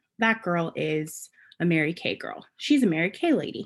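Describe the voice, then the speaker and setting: In a New Jersey accent, a woman speaks with a fairly low pitch. The recording is very clean, with a silent background. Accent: New Jersey American. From US Northeast, New Jersey. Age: 20s. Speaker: direct sales director. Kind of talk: casual personal story to camera. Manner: hesitant, many fillers.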